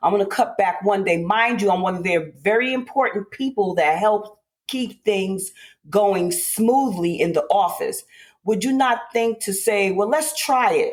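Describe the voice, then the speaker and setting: A woman with a plain, everyday voice speaks at a fairly slow pace and medium pitch, her intonation lively. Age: 60s. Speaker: host's mother, former office worker. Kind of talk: personal storytelling.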